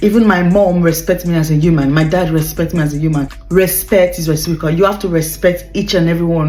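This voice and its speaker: A woman talks at a fairly quick pace in a very deep, low pitch with ordinary pitch variation. Music plays in the background, and room echo is audible. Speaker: relationship advice vlogger. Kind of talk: casual talk to camera. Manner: fast; hesitant, many fillers.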